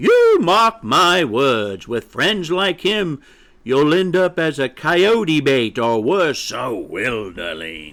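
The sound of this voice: A man's put-on character voice, fairly high and fairly bright, with big pitch swings at a slow pace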